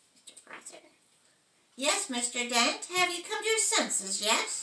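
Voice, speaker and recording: A put-on character voice swings very widely in pitch and shifts greatly in loudness. It moves at a moderate pace with slight echo. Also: woman, high pitch for a woman. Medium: stage play. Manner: hesitant, stammering.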